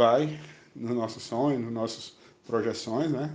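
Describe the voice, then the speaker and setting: A man with fairly even intonation. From Brazil, Maceió (Alagoas, Northeast). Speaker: spiritual studies teacher. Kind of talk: casual interview. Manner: halting.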